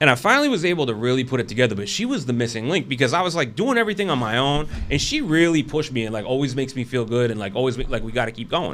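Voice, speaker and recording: With noticeable background noise behind him, a man talks at a very fast pace with hardly any pauses, a medium pitch and lively intonation. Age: 40s. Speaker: barber and shop owner. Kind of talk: casual chat.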